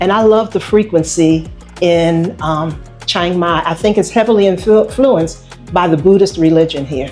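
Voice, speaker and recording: Moderate-paced speech in an American accent with ordinary pitch variation, music playing behind it. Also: woman. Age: 70s. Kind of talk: interview answer. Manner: casual, hesitant.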